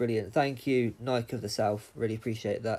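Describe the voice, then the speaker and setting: A man with a British accent speaks at a fairly quick pace, his pitch varying in an ordinary way. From England. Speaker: gaming streamer. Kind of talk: livestream Q&A. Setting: live stream, wireless. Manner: casual, hesitant with frequent ums.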